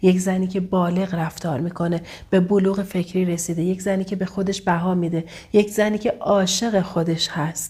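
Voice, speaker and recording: Somewhat breathy, a woman speaks at a medium pitch and a fairly quick pace. Her intonation is monotone and flat. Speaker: relationship coach. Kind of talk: vlog advice monologue. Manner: occasionally stumbling; warm, affectionate.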